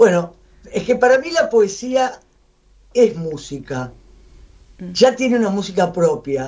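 Using medium pitch with very wide swings, a woman speaks very slowly with vocal fry and long, frequent pauses. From Buenos Aires. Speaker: writer and poet. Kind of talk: radio interview.

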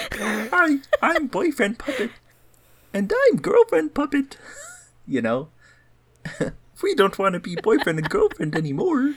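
Using a put-on character voice, a man speaks with extremely high pitch. He goes at a fairly slow pace with long, frequent pauses. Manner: puppet voice.

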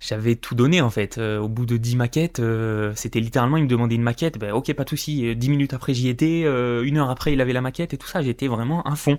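The speech moves at a very fast pace with ordinary pitch variation. The recording is very clean, with a silent background. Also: man, medium pitch for a man. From France, Corrèze (Limousin). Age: 20s. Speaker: podcast host, freelancer. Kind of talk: solo monologue, personal story. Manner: unscripted, some stumbling.

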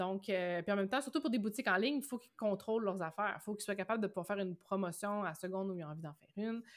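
A woman speaks at a very fast pace and medium pitch, with hardly any pauses. Her pitch varies in an ordinary way, while her loudness swings a lot. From Quebec, Bas-Saint-Laurent (Rimouski). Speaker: entrepreneur, web agency owner. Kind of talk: interview.

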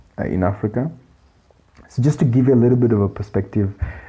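A man speaks in a somewhat breathy voice. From Kenya. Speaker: economist podcast host. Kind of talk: solo podcast commentary. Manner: halting with fillers.

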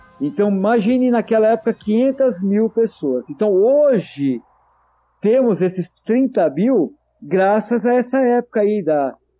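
At a very slow pace, a man talks in a high pitch. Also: lively intonation, very even loudness. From Santo André, São Paulo state, Brazil. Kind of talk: interview.

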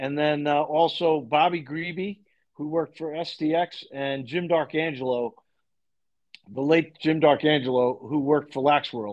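A man's ordinary speaking voice with an American accent, fairly high in pitch, fairly even in intonation, at a fairly slow pace. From Long Island, New York. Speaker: lacrosse coach. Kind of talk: interview.

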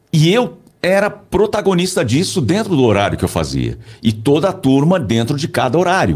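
A man's fairly high voice with vocal fry, very wide pitch swings, very even loudness and a moderate pace. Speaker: voice-over announcer and communication coach. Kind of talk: casual interview chat. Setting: studio.

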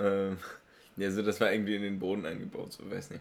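A man's fairly low voice at a moderate pace. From Germany. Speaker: podcast host. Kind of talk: casual chat.

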